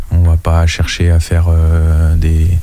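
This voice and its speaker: There is noticeable background noise in this clip. A man speaks in a very deep, low pitch. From France, Anjou. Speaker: band manager and rapper. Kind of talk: casual chat.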